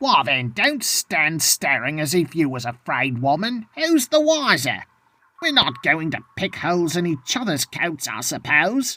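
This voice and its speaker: In a put-on character voice of middle pitch, the speaker moves at a moderate pace with very wide pitch swings. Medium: read story. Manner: bold, coarse and scornful.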